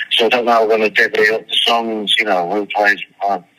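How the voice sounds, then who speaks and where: Amid noticeable background noise, a man speaks at a moderate pace with a fairly low pitch. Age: 60s. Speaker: rock drummer. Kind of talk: interview. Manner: halting.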